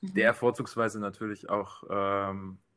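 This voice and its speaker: Here is a man with a plain, everyday voice, pitched fairly low for a man. He speaks at a moderate pace on a very clean recording with a silent background. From Bavaria. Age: 20s. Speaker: dating show guest. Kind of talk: casual chat.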